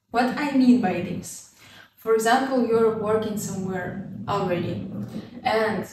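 Her fairly high voice shows ordinary pitch variation as a woman speaks with audible room echo and light background noise. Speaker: student vlogger. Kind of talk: casual tutorial vlog. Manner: casual, laughs often. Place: home room.

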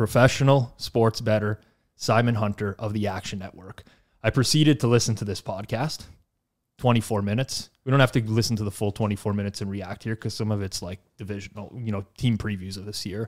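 The speaker moves at a fairly quick pace with fairly even intonation over a quiet background. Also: man, fairly low pitch for a man. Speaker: podcast host. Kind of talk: casual chat. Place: studio. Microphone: studio mic.

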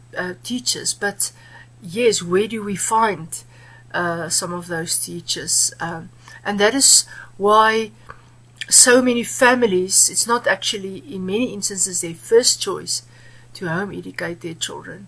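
A woman's voice with vocal fry and big swings in loudness. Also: lively intonation. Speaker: guest. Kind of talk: interview answer. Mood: earnest, warm. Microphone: webcam.

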